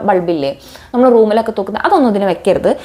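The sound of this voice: Her tone is dark and mellow. The speaker is a woman.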